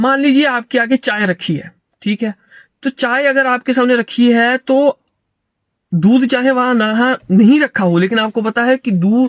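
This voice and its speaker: The sound is dry and close, with no echo. A man talks at an extremely high pitch. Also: ordinary pitch variation. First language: not Hindi, stronger in English and Sanskrit (speaking Hindi). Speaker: philosophy commentator. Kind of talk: lecture. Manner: halting.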